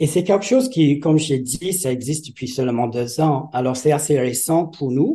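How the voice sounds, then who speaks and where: With an English accent, a man speaks at a fairly slow pace in a somewhat breathy, dark and mellow voice pitched fairly high. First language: English (speaking French). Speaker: retired French teacher, festival organiser. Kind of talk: interview.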